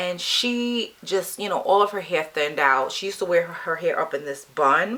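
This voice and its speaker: Over noticeable background noise, a woman of medium pitch talks at a moderate pace with lively intonation. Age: 50s. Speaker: beauty vlogger. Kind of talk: personal story vlog. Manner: casual conversational.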